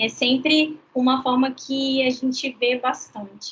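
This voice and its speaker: A woman's high-pitched voice at a very slow pace. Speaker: law lecturer. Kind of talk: online lecture. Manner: casual, chatty.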